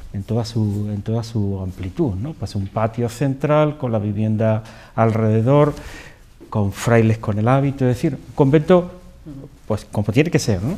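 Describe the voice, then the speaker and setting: Using a dark, mellow tone at medium pitch, a man speaks at a fairly slow pace with ordinary pitch variation. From Andalusia, Spain (Cantillana, Seville). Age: 50s. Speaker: interview guest. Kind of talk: interview. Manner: halting, many repetitions.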